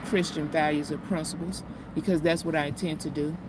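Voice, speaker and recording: Over noticeable background noise, a woman with a Southern US accent speaks at a fairly low pitch with monotone, flat intonation. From US South, Mississippi. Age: 50s. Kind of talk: casual chat. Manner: halting.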